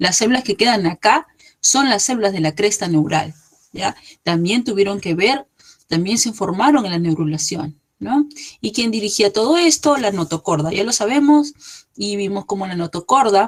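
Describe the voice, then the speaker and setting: A woman with a normal speaking voice and medium pitch, lively intonation and a moderate pace. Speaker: embryology lecturer. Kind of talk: lecture.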